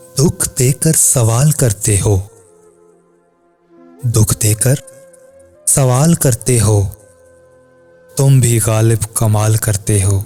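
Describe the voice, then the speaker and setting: With music in the background, a man speaks at a medium pitch, his loudness very even and his pitch varying in an ordinary way. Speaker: poetry reciter. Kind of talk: poetry reading.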